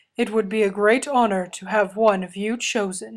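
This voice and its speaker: Big swings in loudness mark this put-on character voice. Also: woman, medium pitch for a woman, moderate pace, fairly even intonation. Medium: read story.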